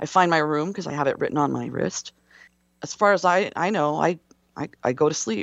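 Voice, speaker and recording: Someone with an American accent talks at a fairly quick pace, with lively intonation and vocal fry. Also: woman, very deep, low pitch for a woman. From US West Coast. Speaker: military veteran. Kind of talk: personal testimony in interview. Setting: remote call from a hotel room. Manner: halting, many fillers.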